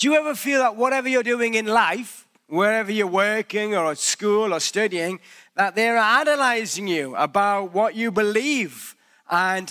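Raising and projecting his voice, a man with a British accent speaks in a high pitch, with a bright, sharp tone and lively intonation. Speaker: pastor. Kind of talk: sermon. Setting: church.

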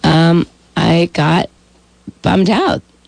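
A woman with a very deep, low pitch talks against noticeable background noise. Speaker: cancer survivor. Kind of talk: radio interview. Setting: studio.

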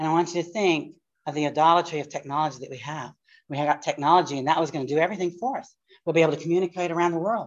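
A woman with an American accent talks at a very fast pace, yet with long, frequent pauses. Her loudness swings widely while her pitch varies in an ordinary way. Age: 60s. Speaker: pastor teaching a class. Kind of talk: lecture. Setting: live class with audience. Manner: animated.

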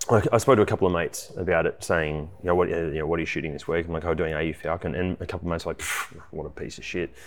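In an Australian accent, a man talks at a very fast pace with hardly any pauses. His pitch is very deep and low. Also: fairly even intonation. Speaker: car reviewer and podcast host. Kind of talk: casual chat.

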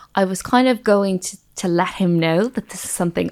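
In an Irish accent, a woman talks at a fairly quick pace with ordinary pitch variation. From Ireland. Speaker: medical doctor and nutritionist. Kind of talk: interview.

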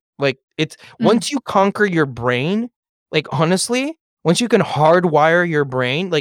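The sound is dry and close, with no echo. A man with a Californian accent speaks at a fairly slow pace. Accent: Californian American English. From Los Angeles, US. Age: 30s. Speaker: real estate broker and author. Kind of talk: podcast interview. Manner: animated.

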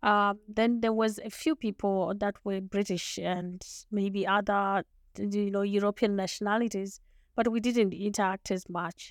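In a very clean recording with a silent background and a dry, close sound with no echo, a woman with a Zimbabwean accent speaks at a fairly slow pace in a medium pitch with monotone, flat intonation. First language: Shona. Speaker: lawyer, leadership coach and author. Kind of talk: interview.

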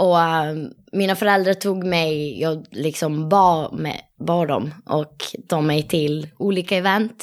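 A woman at a very slow pace with ordinary pitch variation, on a very clean recording with a silent background. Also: fairly low pitch for a woman. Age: 20s. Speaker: competitive dancer and dance teacher. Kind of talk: casual interview.

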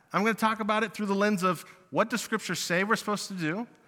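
A man's bright, sharp tone at a fairly quick pace, on a very clean recording with a silent background. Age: 20s. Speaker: youth pastor. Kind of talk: sermon. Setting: church.

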